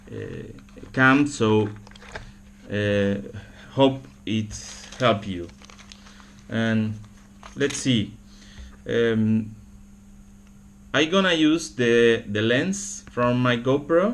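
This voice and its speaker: A man with a Spanish accent, at a very slow pace with long, frequent pauses. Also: medium pitch for a man. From Argentina. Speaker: camera repair hobbyist. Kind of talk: tutorial. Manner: halting, many fillers and repetitions.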